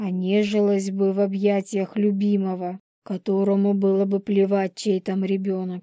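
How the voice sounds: Quiet background behind a natural reading voice.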